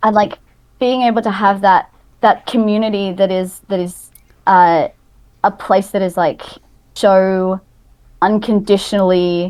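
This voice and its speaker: At a fairly slow pace, a woman speaks at a medium pitch with fairly even intonation and long, frequent pauses. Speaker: larp player. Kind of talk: casual chat. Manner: loud.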